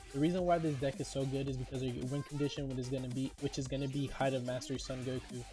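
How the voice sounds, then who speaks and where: With music in the background, a man talks at a very fast pace in a monotone, flat intonation, with hardly any pauses. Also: medium pitch for a man. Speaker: card game content creator. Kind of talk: casual talk to camera.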